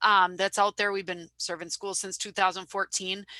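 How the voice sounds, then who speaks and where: Dry and close with no echo, a woman's bright, sharp voice comes through with a Wisconsin accent. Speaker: social media business owner. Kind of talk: webinar presentation.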